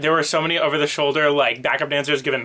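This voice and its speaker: Noticeable background noise surrounds the recording. A man speaks at a fairly high pitch. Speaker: vlogger. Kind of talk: casual talk to camera. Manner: fast.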